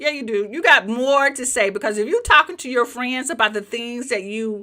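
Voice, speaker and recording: A woman with a Southern US accent, high-pitched and bright, sharp in tone, animated with ordinary pitch variation, on a very clean recording with a silent background. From US South. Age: 50s. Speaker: YouTube coach. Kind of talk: live training.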